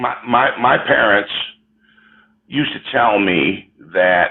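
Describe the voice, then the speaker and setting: With an American accent, a man speaks at a very slow pace. His fairly low pitch moves with lively intonation. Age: 70s. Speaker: caller. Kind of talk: debate. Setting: livestream.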